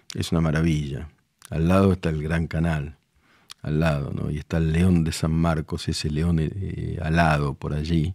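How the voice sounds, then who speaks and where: The tone is calm, dark and mellow. Delivery comes at a moderate pace with monotone, flat intonation. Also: man. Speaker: journalist. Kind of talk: TV opinion segment on art.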